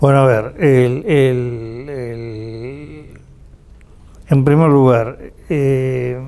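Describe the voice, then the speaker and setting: Speaking at a very slow pace with long, frequent pauses, a man uses a medium pitch and ordinary pitch variation. Noticeable background noise is present. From Uruguay. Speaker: political analyst and university professor. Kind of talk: interview answer.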